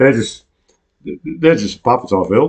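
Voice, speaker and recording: This is a man speaking with an Australian accent. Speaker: online news show host. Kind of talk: casual chat. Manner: halting.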